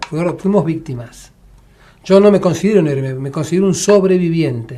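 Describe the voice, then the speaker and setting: His pitch is high for a man. He talks at a fairly quick pace. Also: ordinary pitch variation. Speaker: war veteran. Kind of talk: casual chat.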